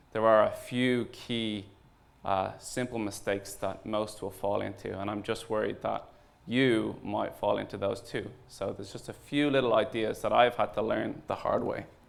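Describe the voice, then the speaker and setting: A man talks at a moderate pace with an Irish accent. Audible room echo surrounds his voice. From Ireland. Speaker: startup founder and CEO. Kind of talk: conference talk. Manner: hesitant, many fillers.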